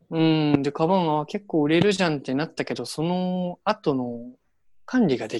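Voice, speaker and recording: In a dry, close sound with no echo, a man with a plain, everyday voice speaks at a moderate pace and fairly high pitch, with lively intonation. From Hiroshima, Japan. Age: 20s. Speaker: local government worker volunteering abroad. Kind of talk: casual chat.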